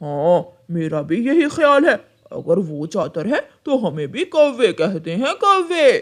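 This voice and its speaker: A cartoonish character voice moves at a fairly slow pace with very wide pitch swings. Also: man, high pitch for a man. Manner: rough, menacing.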